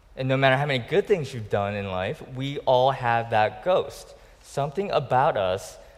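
The passage is read in a natural reading voice.

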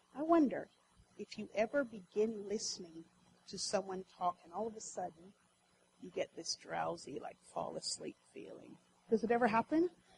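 With vocal fry and a fairly high pitch, a woman speaks at a moderate pace, her pitch swinging very widely and her loudness in big swings, with long, frequent pauses. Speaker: preacher. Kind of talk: sermon. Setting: church.

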